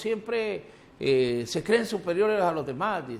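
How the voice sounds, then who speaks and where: The speaker is a man. He moves through very wide pitch swings. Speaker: radio host. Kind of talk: interview.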